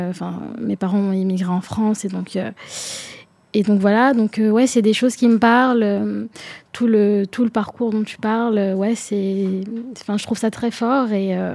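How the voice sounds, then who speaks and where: The tone is dark and mellow, with monotone, flat intonation. The pace is fairly slow, broken by long, frequent pauses. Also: woman, medium pitch for a woman. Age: 20s. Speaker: young political activist. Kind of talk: panel discussion.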